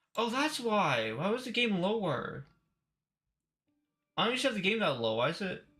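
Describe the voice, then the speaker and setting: A man with a high, bright and sharp voice projects loudly, his pitch swinging very widely. He keeps a moderate pace broken by long, frequent pauses. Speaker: game streamer. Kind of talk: live stream gameplay chat.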